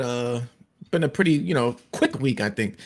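His pitch is medium for a man, varying in an ordinary way. He has a plain, everyday voice. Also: very clean recording, silent background. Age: 30s. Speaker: gaming podcast co-host. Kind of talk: casual chat. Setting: live stream.

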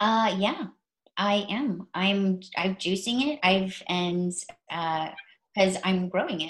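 A somewhat breathy woman's voice at a very slow pace. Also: medium pitch for a woman, ordinary pitch variation. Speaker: podcast co-host and cannabis patient. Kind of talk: casual chat. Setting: video call.

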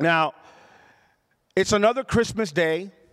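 A loud, animated man in a very clean recording with a silent background. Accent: Puerto Rican. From Puerto Rico. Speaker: pastor. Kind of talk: sermon. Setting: church.

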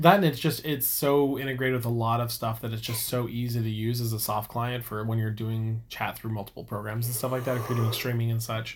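He talks at a very fast pace with hardly any pauses. This man's voice is somewhat breathy, his intonation fairly even. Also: medium pitch for a man. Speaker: podcast co-host. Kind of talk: casual chat.

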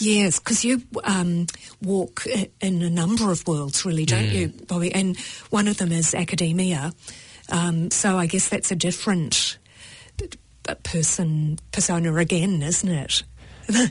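Speaking in a New Zealand accent, a woman uses a fairly low, somewhat breathy voice at a fairly slow pace, with long, frequent pauses. Her pitch varies in an ordinary way and her loudness stays very even. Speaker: radio show host, interviewer. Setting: studio.

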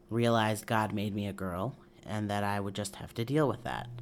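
On a very clean recording with a silent background, a man with an American accent speaks in a fairly low pitch at a moderate pace. He has a normal speaking voice, with fairly even intonation. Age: 20s. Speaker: interviewee. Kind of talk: personal testimony.

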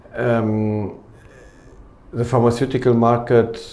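With a German accent, a man speaks at a very slow pace and medium pitch, with audible room echo. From Germany, Cologne. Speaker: company executive. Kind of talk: interview.

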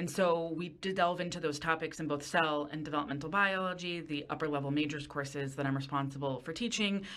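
With an American accent, a woman with a very deep, low pitch talks at a very fast pace, hardly pausing, her pitch varying in an ordinary way. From Westchester County, New York. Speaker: university professor. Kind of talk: interview conversation.

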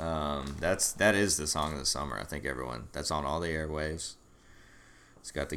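Speaking with an American accent, a man uses a very deep, low pitch with vocal fry and a bright, sharp tone at a moderate pace. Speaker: podcast host. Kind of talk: casual banter chat. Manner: rambling, joking, easily flustered.

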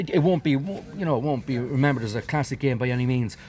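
This is a man speaking. He has a Westmeath Irish accent. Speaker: hurling match analyst. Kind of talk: post-match analysis.

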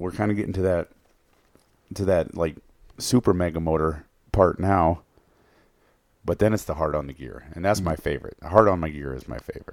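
A man speaks with an Upper Midwest accent and ordinary pitch variation. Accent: Upper Midwest American. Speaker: outdoors podcast co-host. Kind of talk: casual chat.

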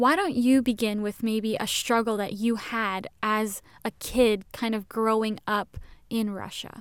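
On a very clean recording with a silent background, a woman with an American accent and a plain, everyday voice speaks at a fairly slow pace, fairly high in pitch and fairly even in intonation. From Indonesia (American family). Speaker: podcast co-host. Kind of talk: casual chat.

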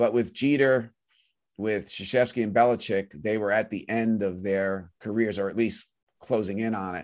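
In a quiet background, a man speaks at a fairly low pitch with a normal speaking voice. His intonation is fairly even and his pace moderate. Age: 50s. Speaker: sports writer and author. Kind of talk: interview.

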